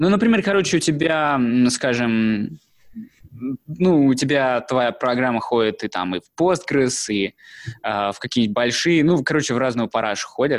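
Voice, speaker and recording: Lively intonation carries this voice along at a moderate pace. Long, frequent pauses break up the speech. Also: man, medium pitch for a man. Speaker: podcast co-host, programmer. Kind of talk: casual chat, tech discussion.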